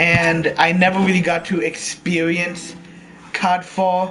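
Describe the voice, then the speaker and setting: Here a man talks with a high pitch. Noticeable background noise is present. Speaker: gaming live streamer. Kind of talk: live stream gameplay commentary. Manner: casual, with frequent ums and restarts.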